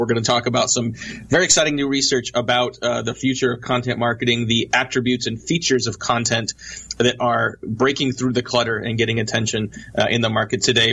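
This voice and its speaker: Over noticeable background noise, a man speaks at a medium pitch. His pace is very fast. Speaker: radio show host. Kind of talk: radio interview.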